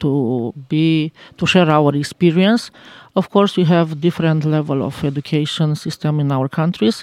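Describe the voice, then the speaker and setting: At a very slow pace, a woman speaks with a very deep, low pitch, ordinary pitch variation and a dark, mellow tone, in a dry, close sound with no echo on a very clean recording with a silent background. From Romania. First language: Romanian (speaking French). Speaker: teacher. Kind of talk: interview. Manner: halting.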